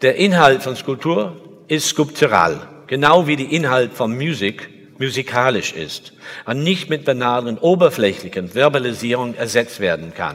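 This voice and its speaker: The speaker has an English accent and moves at a fairly slow pace, with lively intonation and vocal fry. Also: man, medium pitch for a man. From England. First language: English (speaking German). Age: 60s. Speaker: sculptor. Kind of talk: lecture. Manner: halting.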